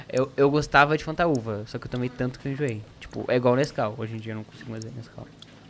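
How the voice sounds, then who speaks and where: Talking at a very fast pace with hardly any pauses, a man at a medium pitch shows big swings in loudness. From Paraná, Brazil. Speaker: activist campaign organizer. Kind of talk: casual interview chat.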